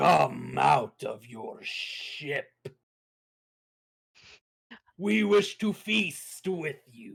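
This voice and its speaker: A man puts on a character voice pitched high, speaking very slowly with long, frequent pauses. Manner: eerie, menacing invitation.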